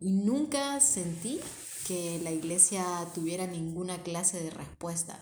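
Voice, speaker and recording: A woman with a Honduran accent speaks at a fairly slow pace, her voice fairly low in pitch and somewhat breathy, with lively intonation. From Honduras, Tegucigalpa. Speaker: podcast co-host. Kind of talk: casual chat.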